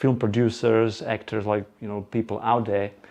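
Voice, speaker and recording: Against a quiet background, a man talks at a moderate pace in a medium pitch with a dark, mellow tone. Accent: Slovak. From Slovakia. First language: Slovak. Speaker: presenter. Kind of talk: presentation to live audience. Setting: room with live audience. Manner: halting.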